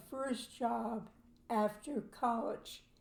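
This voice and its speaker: A woman speaks at a very slow pace in a fairly high pitch, her tone dark and mellow and somewhat breathy. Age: 80s+. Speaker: podcast co-host. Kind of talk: casual chat. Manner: halting.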